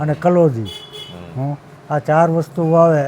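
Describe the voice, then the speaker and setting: A man talks with fairly even intonation and a fairly high pitch while noticeable noise sits behind him. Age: 80s+. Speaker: farmer and seed shop owner. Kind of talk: advice interview. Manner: halting.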